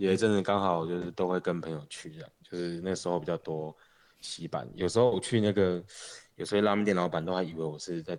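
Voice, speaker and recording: At a very fast pace, a man speaks in a very deep, low voice with fairly even intonation. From Taiwan, Changhua. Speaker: local food enthusiast. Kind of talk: casual chat. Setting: remote LINE call recording.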